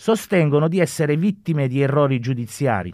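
A plain, everyday voice moves at a moderate pace on a very clean recording with a silent background. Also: man. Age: 50s. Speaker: incarcerated university student. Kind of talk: reading aloud own story; radio interview. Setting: radio studio.

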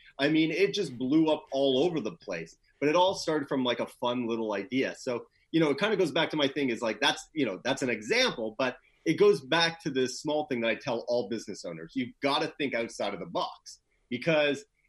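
A man speaks with a Canadian accent and an unremarkable speaking voice. His pitch is fairly high, his intonation lively and his pace fairly quick. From Canada, Toronto. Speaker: PR agency founder, former radio DJ. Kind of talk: interview conversation.

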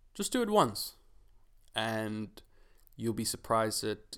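Recorded very cleanly against a silent background, a man at medium pitch talks at a fairly slow pace. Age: 20s. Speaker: podcast host and fitness coach. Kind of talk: casual monologue. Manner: halting, many repeated words.

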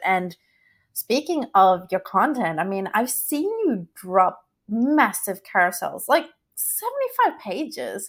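An Australian accent in a very clean recording over a silent background. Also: woman. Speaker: podcast host. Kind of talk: scripted intro; interview. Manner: animated.

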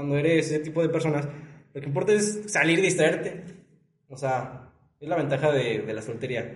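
In a room with audible echo, a man talks at a fairly quick pace with ordinary pitch variation. His voice is somewhat breathy, broken by long, frequent pauses. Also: fairly high pitch for a man. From León, Guanajuato, Mexico. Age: 20s. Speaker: law student. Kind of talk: casual chat.

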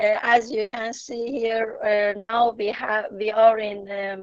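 A woman with a Persian accent and a fairly high pitch. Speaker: journalist and travel agent. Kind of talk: interview. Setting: remote call. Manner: halting.

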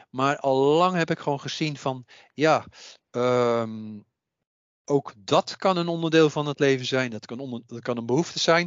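A man talks in a plain, everyday voice. His pitch varies an ordinary amount. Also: fairly high pitch for a man. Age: 60s. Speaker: psychic medium and author. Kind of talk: interview.

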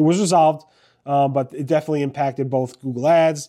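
A man's very fast, fairly high, dark and mellow voice with fairly even intonation on a very clean recording with a silent background. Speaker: search news blogger and video host. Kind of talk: news recap monologue. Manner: fast talker.

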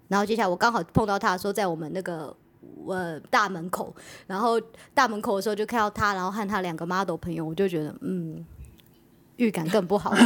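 Using a normal speaking voice, a woman talks fairly quickly at a medium pitch with ordinary pitch variation. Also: big swings in loudness. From Taiwan. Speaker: podcast co-host. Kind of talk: casual chat.

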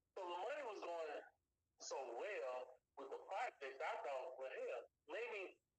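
In a Louisiana accent, the speaker goes at a fairly slow pace with long, frequent pauses and very even loudness. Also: man. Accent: Louisiana Southern American. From US South, Baton Rouge, Louisiana. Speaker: film director and writer. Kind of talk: interview. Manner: halting, repeats words.

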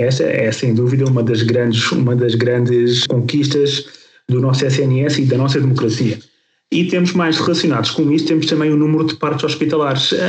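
A man with a fairly high pitch speaks in a somewhat breathy voice, his loudness very even and his intonation fairly even. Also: moderate pace. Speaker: podcast host, health professional. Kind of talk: podcast discussion.

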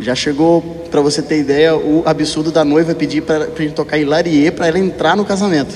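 Over noticeable background noise, the speaker goes at a fairly quick pace with very even loudness and monotone, flat intonation. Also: man, fairly high pitch for a man. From Minas Gerais, Brazil. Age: 30s. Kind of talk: testimony.

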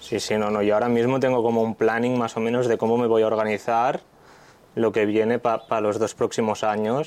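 Someone talks at a fairly quick pace with monotone, flat intonation and very even loudness. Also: man, medium pitch for a man. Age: 20s. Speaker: pizza chef. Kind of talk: casual chat.

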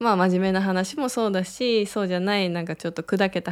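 A woman speaks at a medium pitch and a moderate pace. The recording is very clean, with a silent background. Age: 30s. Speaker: clinic director and radio host. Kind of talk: casual solo radio talk. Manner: hesitant with fillers.

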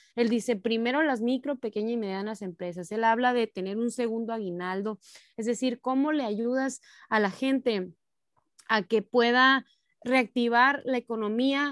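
A woman with a plain, everyday voice, fairly high in pitch, at a moderate pace with ordinary pitch variation, in a dry, close sound with no echo on a very clean recording with a silent background. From Mexico, Sonora (Cananea). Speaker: local politician. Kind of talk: political interview.

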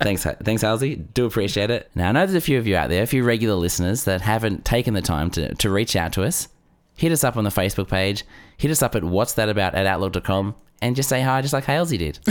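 Talking at a very fast pace with lively intonation, a man with a fairly low voice speaks with an Australian accent. The recording is very clean, and the background is silent. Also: very even loudness. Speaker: podcast co-host. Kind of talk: casual comedic chat. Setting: studio.

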